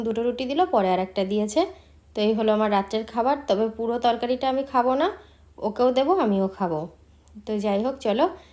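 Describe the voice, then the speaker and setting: A woman's fairly high-pitched voice carries a dark, mellow tone. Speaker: vlogger. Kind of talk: casual vlog narration.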